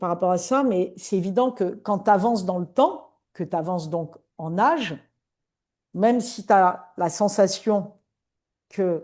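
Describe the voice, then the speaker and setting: A woman with a medium-pitched, dark, mellow voice speaks very slowly, with long, frequent pauses and ordinary pitch variation. The background is quiet. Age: 60s. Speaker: coach. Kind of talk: interview.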